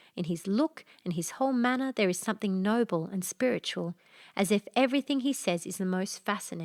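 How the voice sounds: This is a natural reading voice. It is heard here throughout.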